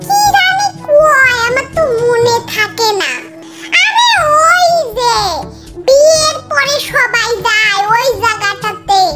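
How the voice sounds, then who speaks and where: Over clear music in the background, a woman uses a put-on character voice, squeaky and extremely high-pitched, speaking at a very slow pace. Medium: fan dub. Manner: bickering, colloquial.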